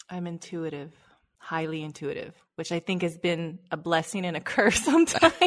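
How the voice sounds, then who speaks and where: A woman with an American accent speaks at a moderate pace in a fairly low pitch, her intonation fairly even while her loudness swings widely. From US West Coast, Los Angeles. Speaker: life coach and speaker. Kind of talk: interview.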